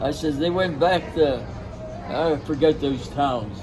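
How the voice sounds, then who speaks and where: A man talks with an American accent. Background noise is noticeable. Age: 80s+. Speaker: war veteran. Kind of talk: interview answer.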